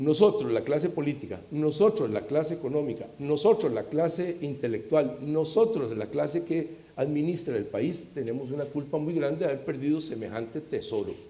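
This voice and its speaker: A man with a Costa Rican accent speaks at a moderate pace, with lively intonation and hardly any pauses. Noticeable background noise can be heard behind him. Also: fairly high pitch for a man. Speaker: security expert panelist. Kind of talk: panel discussion. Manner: animated.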